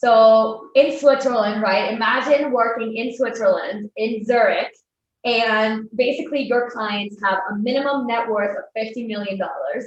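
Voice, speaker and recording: A woman's fairly high voice, fairly even in intonation, at a fairly slow pace. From Spain. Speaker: wealth manager. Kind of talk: interview podcast.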